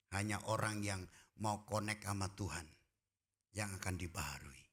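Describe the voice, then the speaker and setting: Fairly low in pitch, a man speaks at a moderate pace with fairly even intonation and very even loudness. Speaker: pastor. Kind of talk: sermon. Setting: church.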